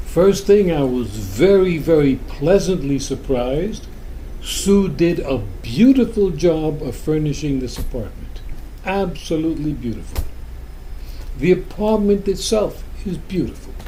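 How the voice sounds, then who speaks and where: Audible room echo surrounds a man whose high-pitched voice rises and falls in lively intonation at a fairly slow pace. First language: Spanish. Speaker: spiritual teacher. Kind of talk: talk to a group. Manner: casual.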